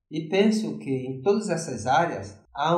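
A man speaks with lively intonation. The recording has audible room echo and noticeable background noise. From Fortaleza, Ceará, Brazil (youth in Brasília). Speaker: psychology professor and consultant. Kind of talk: interview.

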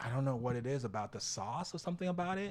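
In a New York accent, a man talks with an animated tone and lively intonation. The recording is very clean, with a silent background. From Dominican Republic, raised in New York from age seven. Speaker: cheer team co-founder. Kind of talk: casual chat. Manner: animated, laughs often.

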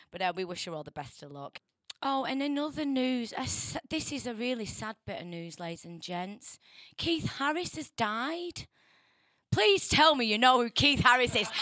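Speaking in a northern English accent at a moderate pace, a woman sounds animated, her high, bright, sharp voice making very wide pitch swings and big swings in loudness. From northern England. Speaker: radio presenter. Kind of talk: casual radio chat. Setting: radio studio. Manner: chatty, jokey, animated.

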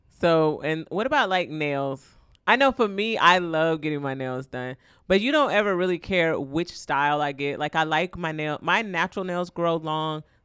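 The recording is very clean, with a silent background. A woman speaks at a moderate pace with a fairly low pitch. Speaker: podcast co-host. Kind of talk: casual chat. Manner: laughs often.

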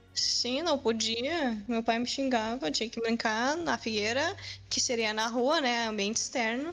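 Over music in the background, a woman talks at a fairly slow pace in a fairly high pitch. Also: ordinary pitch variation. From southern Brazil. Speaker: gamer. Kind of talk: casual chat.

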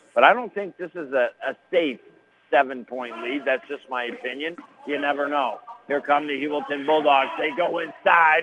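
A man with an American accent, fairly high-pitched, at a moderate pace with ordinary pitch variation, a plain, everyday voice. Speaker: radio play-by-play announcer. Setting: radio broadcast from gym. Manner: chatty and folksy between plays.

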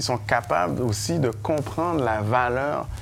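There is audible room echo around a man speaking with a Haitian accent. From Haiti, raised in Montreal from age 8. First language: Haitian Creole (speaking French). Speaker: engineer and entrepreneur. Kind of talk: interview before live audience. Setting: bar venue with audience.

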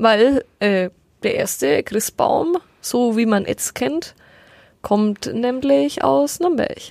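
A woman speaks at a very slow pace, at a fairly high pitch, with long, frequent pauses. Her pitch swings very widely. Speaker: podcast co-host. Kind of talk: casual chat.

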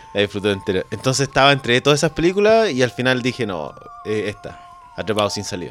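A man at a very fast pace, lively intonation, noticeable background noise. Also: medium pitch for a man. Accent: Chilean. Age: 30s. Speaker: tourism teacher, contest winner guest. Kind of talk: casual chat.

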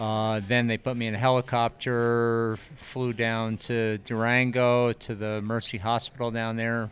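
A man talks at a fairly slow pace and a medium pitch, with monotone, flat intonation. He leaves hardly any pauses. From US East. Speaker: ski instructor coach. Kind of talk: casual interview.

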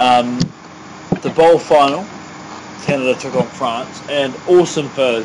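A man with a New Zealand accent speaks over noticeable background noise. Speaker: podcast co-host. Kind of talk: casual chat.

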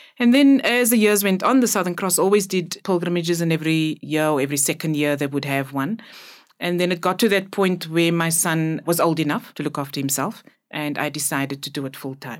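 A woman's fairly low voice with lively intonation and a South African accent, at a fairly quick pace, in a very clean recording with a silent background. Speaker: pilgrimage tour operator. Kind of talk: interview.

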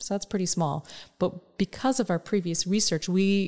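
At a moderate pace, a woman speaks with a dark, mellow tone on a very clean recording with a silent background. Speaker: insights researcher, former academic. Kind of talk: expert conversation.

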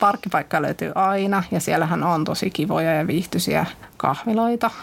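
Noticeable background noise accompanies speech delivered at a fairly slow pace, its pitch varying in an ordinary way. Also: woman. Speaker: city network manager. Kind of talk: casual interview. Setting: studio.

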